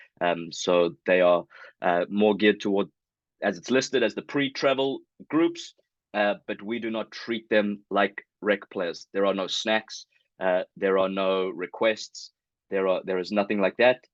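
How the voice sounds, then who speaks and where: With a South African accent, a man talks at a fairly slow pace in a fairly low pitch with ordinary pitch variation, his sound dry and close with no echo over a quiet background. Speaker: youth soccer club director. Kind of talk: information meeting presentation. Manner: hesitant, many fillers.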